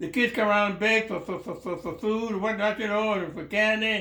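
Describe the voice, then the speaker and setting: A man with a high pitch speaks in a raised, projected voice over noticeable background noise. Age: 90s. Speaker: World War II veteran. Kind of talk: interview answer. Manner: halting, repetitive.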